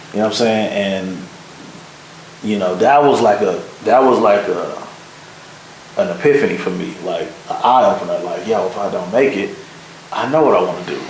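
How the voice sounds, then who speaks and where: An American-accented man at a fairly quick pace, lively in intonation, with long, frequent pauses, audible room echo and noticeable background noise. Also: medium pitch for a man. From Michigan, Detroit area (Pontiac). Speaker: video producer. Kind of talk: casual interview chat.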